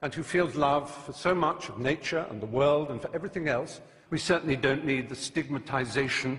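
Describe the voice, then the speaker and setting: With noticeable background noise behind it, the speaker talks at a fairly quick pace in a passionate tone with ordinary pitch variation. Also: man, fairly high pitch for a man. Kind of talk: debate speech. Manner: passionate, articulate, emphatic.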